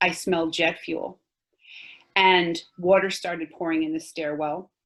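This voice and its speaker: A woman speaks with a New York accent. Her pace is fairly slow. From Long Island, New York. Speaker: 9/11 survivor giving a talk. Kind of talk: testimony.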